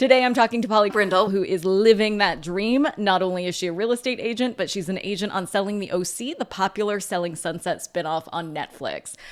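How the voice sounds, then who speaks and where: Against noticeable background noise, someone with an American accent speaks at a fairly quick pace with hardly any pauses. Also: woman, medium pitch for a woman, ordinary pitch variation. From US West, Orange County, California. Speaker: podcast host. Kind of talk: podcast intro narration.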